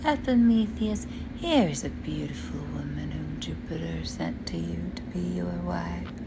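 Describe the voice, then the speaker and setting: A woman speaks at a moderate pace in a put-on character voice, with loud background noise. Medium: read story.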